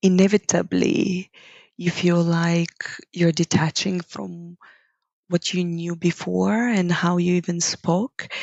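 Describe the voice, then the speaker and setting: A woman's fairly low, flat monotone in a Bulgarian accent, delivered at a very slow pace. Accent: Bulgarian accent, noticeable. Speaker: yoga teacher. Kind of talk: podcast interview. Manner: reflective, with hesitations.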